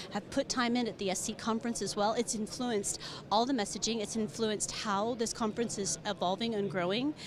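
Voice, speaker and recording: Noticeable background noise sits behind a woman speaking at a fairly quick pace with an American accent. Her pitch is fairly high and varies in an ordinary way. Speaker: business manager of a professional organization. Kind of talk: conference interview. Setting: conference floor. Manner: animated.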